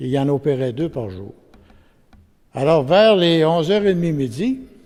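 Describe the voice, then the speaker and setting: At a moderate pace, a man with a Quebec accent speaks with very wide pitch swings. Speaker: witness giving testimony. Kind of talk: testimony; reading aloud.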